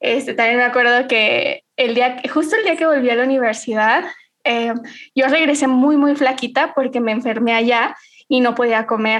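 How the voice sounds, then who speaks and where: Fairly even intonation at a moderate pace, with loudness that stays very even throughout. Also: woman, high pitch for a woman. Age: 30s. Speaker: civil engineering lecturer and YouTuber. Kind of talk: casual chat.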